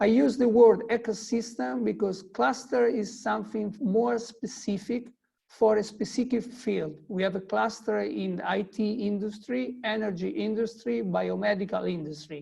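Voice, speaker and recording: A man's high-pitched, dark and mellow voice at a moderate pace, with ordinary pitch variation and hardly any pauses. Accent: non-native. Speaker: tech hub CEO. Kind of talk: webinar presentation. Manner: halting, many hesitations.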